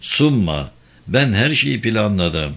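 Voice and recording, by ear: A man puts on a character voice with vocal fry and a fairly bright tone. He speaks slowly, with big pitch swings. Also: fairly low pitch for a man.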